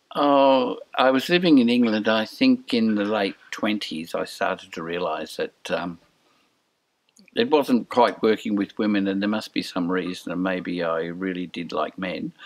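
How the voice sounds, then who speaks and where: With lively intonation and a fairly low pitch, a man talks at a fairly slow pace. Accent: Australian. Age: 70s. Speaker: interviewee, senior LGBTI community member. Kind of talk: personal testimony.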